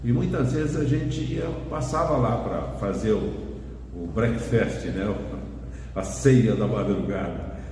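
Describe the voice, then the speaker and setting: A man with a fairly low voice speaks at a very slow pace, his pitch swinging very widely, with long, frequent pauses, audible room echo and noticeable background noise. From Brazil, interior of São Paulo state (Garça). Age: 70s. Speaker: radio broadcaster and journalist. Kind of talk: casual interview chat.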